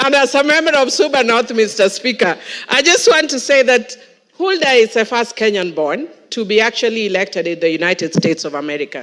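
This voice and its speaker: A woman talks at a fairly high pitch and a fairly quick pace. Her tone is animated, with very wide pitch swings. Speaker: member of parliament. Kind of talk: parliamentary speech. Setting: parliament chamber.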